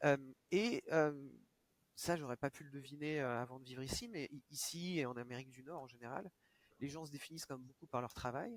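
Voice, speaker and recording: At a fairly quick pace, a man speaks with fairly high pitch, ordinary pitch variation and big swings in loudness. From France (Reims). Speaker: video game industry professional. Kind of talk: interview conversation. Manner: hesitant, many fillers and repetitions.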